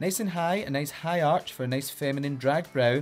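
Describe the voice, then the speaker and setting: With music in the background, a man speaks at a fairly quick pace in a Glasgow accent with ordinary pitch variation. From Scotland, Glasgow. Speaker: drag queen. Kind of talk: makeup tutorial. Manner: animated.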